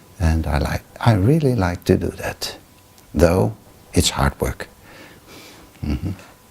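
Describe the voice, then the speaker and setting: A man speaks very slowly in a very deep, low pitch, with very wide pitch swings and long, frequent pauses. Noticeable background noise runs under his voice. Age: 70s. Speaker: Buddhist meditation teacher. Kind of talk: interview. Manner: halting.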